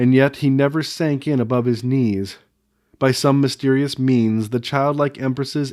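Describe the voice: Plain reading aloud with fairly even intonation comes through over a quiet background.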